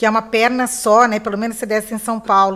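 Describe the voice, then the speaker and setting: A normal speaking voice from a woman, fairly high in pitch, at a fairly quick pace. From Mato Grosso do Sul, Brazil (Campo Grande). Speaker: lawyer and political candidate. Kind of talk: radio interview.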